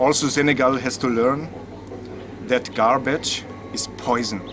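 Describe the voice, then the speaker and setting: A man speaks at medium pitch and a fairly slow pace, with ordinary pitch variation. Audible room echo and noticeable background noise surround him. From Austria. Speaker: musician. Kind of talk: interview.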